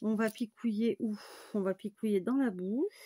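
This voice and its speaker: Heard with a dry, close sound with no echo, a woman speaks at a very slow pace in a somewhat breathy, dark, mellow tone. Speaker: crafts tutorial maker. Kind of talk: tutorial. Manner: casual, hesitant with many fillers.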